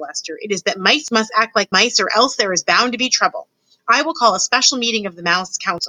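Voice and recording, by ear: Against quiet surroundings, a passage is read aloud in a natural voice.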